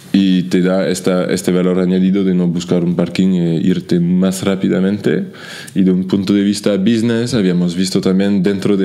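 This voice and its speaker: With a French accent, a man speaks fairly slowly. His very deep, low voice keeps a fairly even intonation. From France. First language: French (speaking Spanish). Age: 30s. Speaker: startup founder and CEO; guest. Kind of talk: interview; interview answer. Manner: halting, frequent repetitions. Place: office. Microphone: studio mic.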